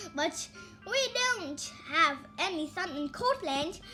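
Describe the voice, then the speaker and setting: A woman's put-on character voice at a fairly slow pace, with clear music in the background. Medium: read story.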